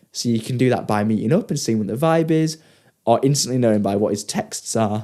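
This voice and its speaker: Over a very clean recording with a silent background, a man speaks fairly quickly at a medium pitch, with ordinary pitch variation and a dark, mellow tone. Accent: English. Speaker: podcast co-host. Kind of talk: casual chat.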